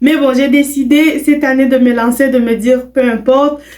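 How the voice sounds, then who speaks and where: A woman with a Quebec accent speaks at a fairly slow pace. Her pitch is high, and her intonation fairly even. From Quebec, Canada (Burundian parents). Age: young. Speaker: vlogger. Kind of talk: casual self-introduction vlog. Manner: hesitant, many fillers.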